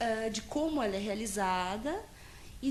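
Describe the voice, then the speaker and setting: A woman talks at a fairly slow pace. Her voice carries audible room echo. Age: 20s. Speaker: psychologist. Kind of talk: interview. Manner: halting, many fillers and restarts.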